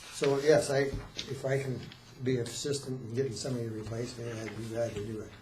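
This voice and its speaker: A man talks at a very fast pace with a medium pitch and fairly even intonation. The room echo is audible, along with noticeable background noise. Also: big swings in loudness. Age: 70s. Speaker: board chair. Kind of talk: public meeting.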